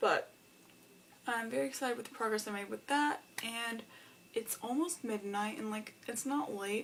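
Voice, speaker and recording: A woman talks with a fairly high pitch. There is noticeable background noise. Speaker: book vlogger. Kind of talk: vlog. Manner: casual, filler-heavy.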